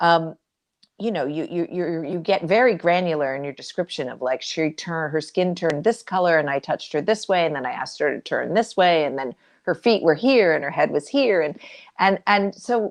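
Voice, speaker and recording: With a Canadian accent, a woman with an unremarkable speaking voice talks at a fairly quick pace and a fairly low pitch, her intonation lively, against a quiet background. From Canada. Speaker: author and journalist, interview host. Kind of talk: interview questions.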